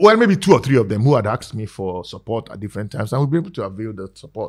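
The speech goes at a very fast pace. Its intonation is lively. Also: man, big swings in loudness. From Nigeria. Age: 50s. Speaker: politician. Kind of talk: casual interview.

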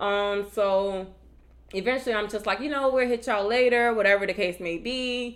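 On a very clean recording with a silent background, a woman speaks at a medium pitch with ordinary pitch variation. Her tone is animated and her pace moderate. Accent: American. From Virginia. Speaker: podcast co-host, Air Force member. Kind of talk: casual chat.

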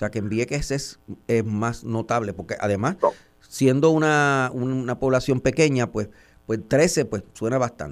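In a plain, everyday voice, a man talks at a fairly slow pace with a medium pitch and ordinary pitch variation. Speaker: radio news host. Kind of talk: radio interview.

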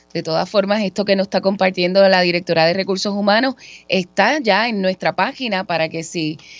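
Music plays in the background as a woman speaks at a moderate pace and medium pitch with ordinary pitch variation. The sound is dry and close, with no echo. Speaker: radio co-host, communications officer. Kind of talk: radio talk show. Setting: studio.

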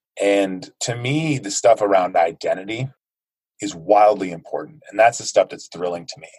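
A man with an American accent talks at a moderate pace in a fairly low voice, with ordinary pitch variation and big swings in loudness. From United States. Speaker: fitness movement co-founder. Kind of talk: interview. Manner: animated.

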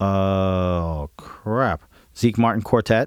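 On a very clean recording with a silent background and a dry, close sound with no echo, a man with an American accent speaks at a fairly slow pace in a normal speaking voice with ordinary pitch variation. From Woodstock, New York, US. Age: 40s. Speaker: drummer. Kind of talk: casual chat.

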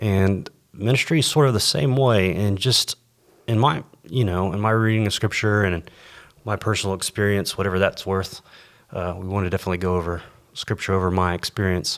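With an American accent, a man with an unremarkable speaking voice speaks fairly low and at a fairly quick pace, with ordinary pitch variation. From Texas and the Caribbean. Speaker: pastor. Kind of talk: casual chat.

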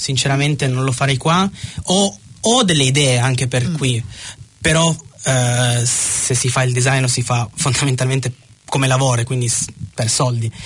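Through noticeable background noise, a man with a medium pitch speaks at a moderate pace with ordinary pitch variation. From Piedmont, Italy (Ivrea). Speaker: Italian expat. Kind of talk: radio interview. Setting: studio.

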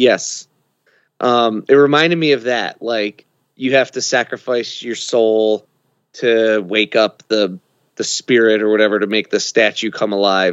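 A man with an unremarkable speaking voice talks fairly slowly at a medium pitch, using ordinary pitch variation. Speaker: co-host of another podcast, guest. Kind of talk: casual podcast discussion.

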